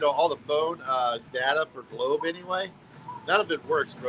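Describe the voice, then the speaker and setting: Against noticeable background noise, a man with a fairly high pitch talks with ordinary pitch variation. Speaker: livestreamer. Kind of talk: casual livestream chat. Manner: loud; animated.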